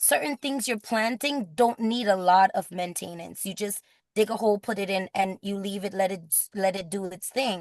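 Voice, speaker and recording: An animated tone in an American accent. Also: woman, dry, close sound with no echo. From Grenada. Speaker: teacher and farmer. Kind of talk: interview conversation.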